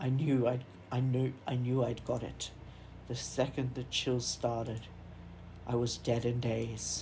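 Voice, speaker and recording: In a put-on character voice, the speaker sounds creaky at a low-to-middle pitch, going at a fairly slow pace with clear background noise behind. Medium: game stream. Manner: boastful, old-fashioned.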